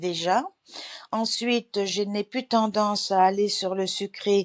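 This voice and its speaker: Very slowly, a woman speaks at a medium pitch with ordinary pitch variation in a dry, close sound with no echo. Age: 80s+. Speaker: client giving a testimonial. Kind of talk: testimony. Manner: halting, many hesitations.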